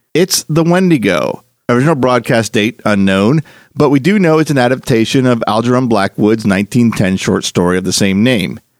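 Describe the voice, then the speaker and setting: A man talks at a moderate pace and medium pitch in a plain, everyday voice with lively intonation and very even loudness, the sound dry and close with no echo. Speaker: podcast host. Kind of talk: podcast intro and outro.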